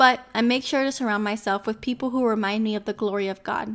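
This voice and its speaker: A woman with an American accent speaks at a fairly quick clip in a fairly high pitch. She has a plain, everyday voice and fairly even intonation. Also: very clean recording, silent background. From Miami, Florida. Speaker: devotional podcast host. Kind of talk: devotional talk.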